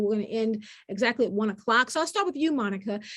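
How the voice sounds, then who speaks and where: With an American accent, a woman speaks at a fairly high pitch. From US South. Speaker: panel moderator. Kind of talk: panel moderation.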